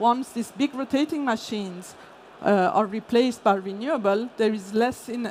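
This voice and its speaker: Pitched fairly high, a woman's voice comes through with a non-native accent. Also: ordinary pitch variation, moderate pace. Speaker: energy industry consultant. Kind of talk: conference talk. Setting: stage with audience. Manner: hesitant, many fillers.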